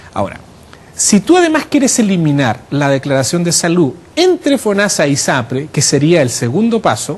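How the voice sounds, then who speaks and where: His pitch is high for a man. The speaker, a man, swings his pitch very widely. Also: moderate pace. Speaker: health policy academic, former health regulator. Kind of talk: radio interview. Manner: explanatory.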